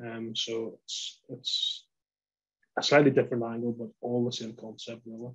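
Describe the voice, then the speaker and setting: A man speaks with a Northern Irish accent. His pitch is medium and his intonation monotone and flat. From Northern Ireland, Lisburn. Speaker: poultry industry company representative. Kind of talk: webinar presentation.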